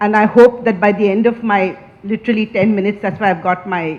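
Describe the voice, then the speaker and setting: A woman speaks with fairly even intonation. Noticeable background noise runs underneath. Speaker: maritime businesswoman, speaker. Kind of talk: speech. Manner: loud.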